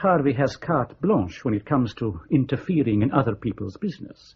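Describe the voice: A man's put-on character voice at medium pitch, with a husky, rough edge and big pitch swings. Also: moderate pace.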